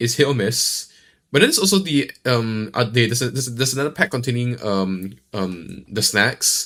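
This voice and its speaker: With a Singaporean accent, a man of medium pitch speaks at a moderate pace using lively intonation. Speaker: streamer. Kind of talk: live reaction stream. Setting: live stream. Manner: halting, many fillers and repeats; casual.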